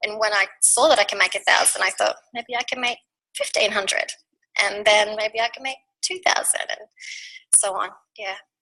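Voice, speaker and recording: A woman with an Australian accent, at a moderate pace, with long and frequent pauses. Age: 40s. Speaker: network marketing team member. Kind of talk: testimony.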